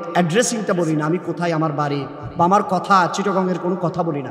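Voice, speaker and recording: A man's high-pitched voice with fairly even intonation, noticeable background noise, and audible room echo. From Bangladesh, Chittagong (Raozan). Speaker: Islamic preacher. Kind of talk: sermon.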